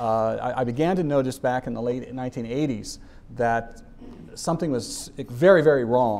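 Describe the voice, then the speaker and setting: A man speaks at a moderate pace and a medium pitch with ordinary pitch variation. It is a normal speaking voice. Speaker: activist speaker. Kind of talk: public talk.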